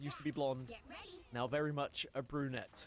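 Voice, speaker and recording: A man with an English accent talks at a fairly quick pace and a fairly high pitch. Music plays in the background. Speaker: esports caster. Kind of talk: live commentary.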